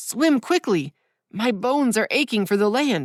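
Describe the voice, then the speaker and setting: A woman uses a put-on character voice, raspy and fairly high, with very wide pitch swings at a moderate pace. The sound is dry and close, with no echo. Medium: read story.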